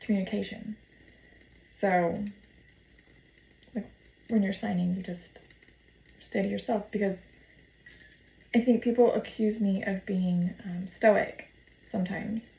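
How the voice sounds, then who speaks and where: The voice is somewhat breathy, with a dark, mellow tone and monotone, flat intonation. It moves at a fairly slow pace with long, frequent pauses. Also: woman, medium pitch for a woman. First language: sign language. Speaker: vlogger. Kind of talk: casual vlog monologue. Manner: hesitant with many fillers.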